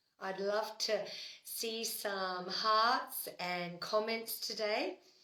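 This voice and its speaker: A woman with a fairly high pitch and ordinary pitch variation speaks in a room with audible echo. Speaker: spiritual livestream host. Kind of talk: live stream talk. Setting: home, door open. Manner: casual, conversational.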